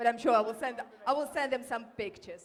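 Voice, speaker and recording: A woman with a Ukrainian accent, a fairly high pitch with ordinary variation, and a fairly quick pace. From Ukraine. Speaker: award winner, community volunteer. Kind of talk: acceptance speech. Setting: hall with audience at awards ceremony.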